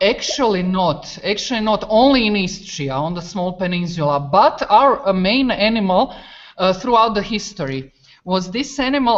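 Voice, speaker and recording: A woman speaks with a Croatian accent. Her pitch sits in the medium range. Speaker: teacher. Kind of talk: classroom video exchange. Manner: halting.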